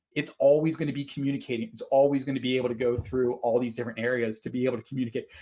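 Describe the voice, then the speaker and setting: Speaking very fast in an American accent, a man with a medium pitch and a dark, mellow tone keeps his intonation fairly even. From Pittsburgh, western Pennsylvania, US. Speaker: conference speaker, nonprofit tech consultant. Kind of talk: webinar presentation.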